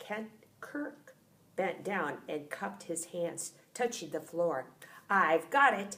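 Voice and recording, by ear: The intonation is lively. The text is read aloud in a natural voice.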